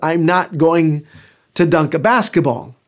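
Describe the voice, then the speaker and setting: This very clean recording with a silent background has a man speaking in a high voice at a fairly slow pace with an animated tone. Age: 50s. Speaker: pastor. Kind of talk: sermon.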